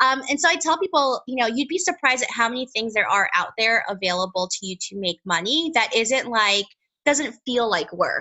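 A woman with an American accent, high-pitched, fairly quick, with very wide pitch swings. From New York City. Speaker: personal finance author and podcaster. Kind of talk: interview. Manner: hesitant with many fillers.

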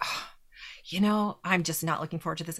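The voice has an energetic tone with vocal fry. The recording is very clean, with a silent background. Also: woman. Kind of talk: interview.

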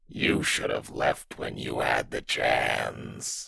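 At a very slow pace, a man does a raspy, put-on character voice. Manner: menacing, taunting.

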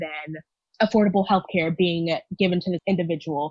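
With an American accent, a woman talks in a normal speaking voice at a fairly quick pace, her pitch fairly low and her intonation fairly even. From Texas, Houston. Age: 20s. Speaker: university student. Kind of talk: personal testimony.

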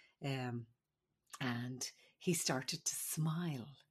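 A woman speaks with an Irish accent and ordinary pitch variation. The background is quiet. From Ireland. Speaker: midwife. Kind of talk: casual chat and storytelling.

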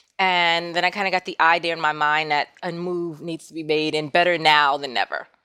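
A woman with an American accent: an ordinary speaking voice, fairly low pitch, fairly even intonation and a fairly quick pace with hardly any pauses, in a very clean recording with a silent background and a dry, close sound with no echo. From New York City (Queens). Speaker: content creator. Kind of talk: interview.

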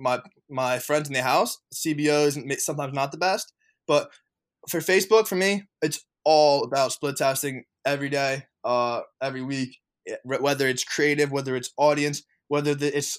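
In a very clean recording with a silent background, a man with an unremarkable speaking voice talks at a moderate pace and a fairly high pitch. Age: 20s. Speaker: e-commerce entrepreneur and coach. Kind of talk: podcast interview.

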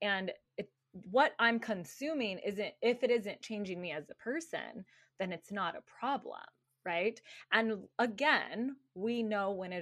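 Against a quiet background, a woman with an ordinary speaking voice and an American accent talks at a moderate pace in a medium pitch, her intonation lively. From Arizona. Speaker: breathwork, meditation and movement coach. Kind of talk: casual chat.

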